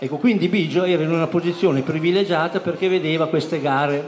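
Over crowd noise in the background, a man talks at a very fast pace with ordinary pitch variation. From Emilia, Felina area; Emilia. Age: 70s. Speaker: childhood friend; speaker. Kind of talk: storytelling speech. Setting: party hall with audience. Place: hall.

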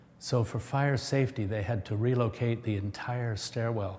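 Somewhat breathy, a man speaks at a moderate pace with fairly even intonation amid light background noise. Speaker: school alumni tour guide. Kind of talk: guided tour explanation. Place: hall.

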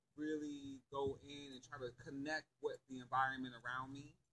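A man with an American accent speaks at a moderate pace, his pitch fairly high. Noticeable background noise runs underneath. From New York City. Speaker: spiritual group member; vlogger. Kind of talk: casual chat. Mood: relaxed, reflective. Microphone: phone near.

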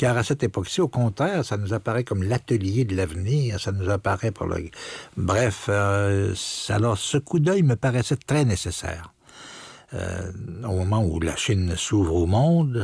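A somewhat breathy man at a fairly slow pace, lively in intonation, with dry sound, no echo and a quiet background. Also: fairly low pitch for a man. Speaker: radio host. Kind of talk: radio commentary on a book. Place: studio.

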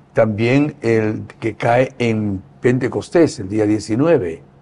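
The man's voice has a dark, mellow tone and ordinary pitch variation. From Spain. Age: 70s. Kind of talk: interview. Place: home room. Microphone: lapel.

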